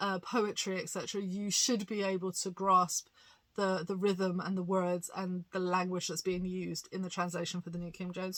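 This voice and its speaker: A bright, sharp woman's voice at medium pitch, with a British accent and fairly even intonation. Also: fairly quick pace. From England. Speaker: pastor and bible reviewer. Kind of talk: casual review monologue. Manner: hesitant, many fillers.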